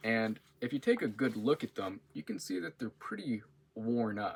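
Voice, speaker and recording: A man with a medium-pitched voice talks at a fairly slow pace with ordinary pitch variation. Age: 20s. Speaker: university student. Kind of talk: class introduction video. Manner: casual, with filler words.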